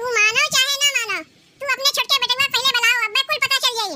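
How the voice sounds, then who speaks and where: A woman's squeaky, cartoonish character voice at an extremely high pitch. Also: moderate pace, fairly even intonation. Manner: loud, threatening, argumentative.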